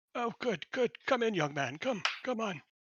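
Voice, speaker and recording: A man's raspy, high-pitched put-on character voice at a moderate pace, with very wide pitch swings. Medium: actual play. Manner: halting, absent-minded.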